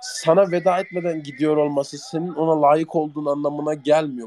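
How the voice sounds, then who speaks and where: Noticeable background noise runs behind a man speaking at a fairly high pitch. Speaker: internet radio host. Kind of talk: casual live chat with listeners. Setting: online audio chat room. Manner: halting at times.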